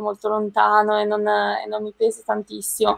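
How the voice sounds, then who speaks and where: The sound is dry and close, with no echo. A woman speaks at a fairly quick pace. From northern Italy, province of Brescia (Lombardy). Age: 20s. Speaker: Paralympic athlete. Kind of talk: interview. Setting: live stream video call.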